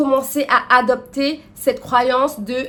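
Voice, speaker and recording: A woman's high-pitched voice. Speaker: lifestyle and personal development youtuber. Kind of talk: casual advice monologue to camera. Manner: hesitant, many fillers.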